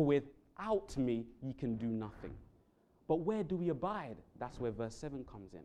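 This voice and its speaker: A London accent at a moderate pace. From London, England. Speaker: Bible worker giving a sermon. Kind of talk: sermon. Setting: church.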